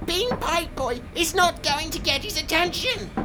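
Put-on character voice at an extremely high pitch and a moderate pace, over loud background noise. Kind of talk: comic overacting.

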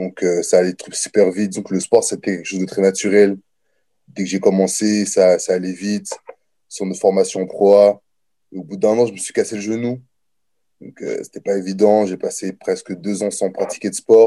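A man at a moderate pace, with big swings in loudness and long, frequent pauses. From France, Nancy and Orléans. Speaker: college football player. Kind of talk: interview. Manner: casual.

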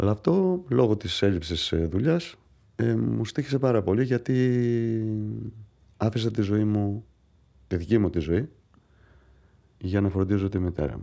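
Against a quiet background, a man with a Greek accent talks very slowly at a fairly low pitch, his dark, mellow tone carrying lively intonation through long, frequent pauses. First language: Greek (speaking French). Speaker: patient. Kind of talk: testimony.

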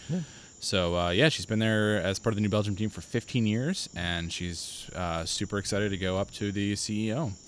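With an unremarkable speaking voice, a man speaks at a moderate pace, his fairly low pitch showing ordinary variation. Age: 30s. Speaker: beer podcast host. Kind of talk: casual chat.

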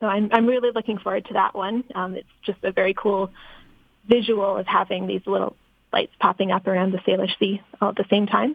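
A woman with an ordinary speaking voice talks at a fairly quick pace, her medium pitch carried on fairly even intonation. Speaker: research institute scientist. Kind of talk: interview chat. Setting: phone call.

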